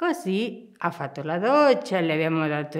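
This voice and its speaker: Against a quiet background, a woman with a Spanish accent speaks at a fairly low pitch that swings very widely. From Argentina. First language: Spanish (speaking Italian). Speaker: nun. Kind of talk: interview. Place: home room.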